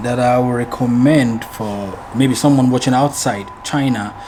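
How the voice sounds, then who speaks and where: There is audible room echo and noticeable background noise as a man talks with ordinary pitch variation. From Ghana. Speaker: advertising business owner. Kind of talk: interview.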